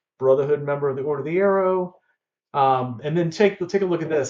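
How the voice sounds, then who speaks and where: This man talks at a fairly quick pace with a slight Southern US accent. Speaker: collectibles dealer and YouTuber. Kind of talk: unboxing video. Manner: casual and conversational.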